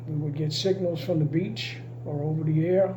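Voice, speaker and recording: With audible room echo and noticeable background noise, a man speaks at a fairly high pitch. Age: 80s+. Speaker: retired navy communications technician. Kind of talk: interview.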